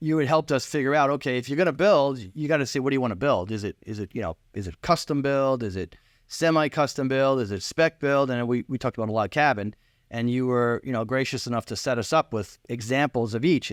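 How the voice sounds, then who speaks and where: At a very fast pace, a man with a Long Island accent speaks at a medium pitch with ordinary pitch variation, in a very clean, dry, close recording with a silent background and no echo. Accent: New York, Long Island. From New York, Long Island. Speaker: client, relocated homebuyer. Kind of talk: casual interview. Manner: halting, repeats words.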